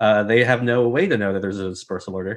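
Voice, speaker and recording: Very fast in pace, a man speaks at a medium pitch with fairly even intonation. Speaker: journalist. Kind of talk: panel interview.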